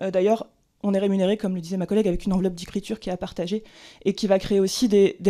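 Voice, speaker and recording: A woman speaks at a very fast pace in a medium pitch, her dark, mellow tone delivered with monotone, flat intonation. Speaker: screenwriter testifying at a hearing. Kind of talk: formal testimony at a hearing. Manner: hesitant, many fillers.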